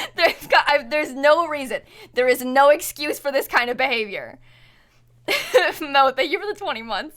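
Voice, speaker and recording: Speaking at a moderate pace with long, frequent pauses, a woman with an American accent has a high pitch and ordinary pitch variation. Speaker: Twitch streamer. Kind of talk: live stream casual chat.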